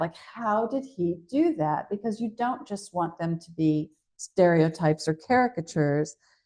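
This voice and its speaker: With lively intonation and an American accent, a woman talks at a fairly slow pace. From USA. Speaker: novelist. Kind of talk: interview conversation. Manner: animated.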